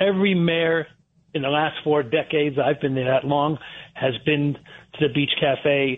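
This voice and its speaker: This man has an American accent and a normal speaking voice, fairly high for a man, delivered at a moderate pace with fairly even intonation and very even loudness. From Connecticut, Fairfield County. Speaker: restaurant owner. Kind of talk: radio interview.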